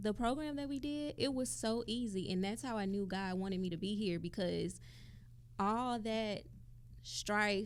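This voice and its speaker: This is a woman speaking. She has a Southern accent. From Mississippi, US South. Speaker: podcast co-host. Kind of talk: casual chat. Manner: animated.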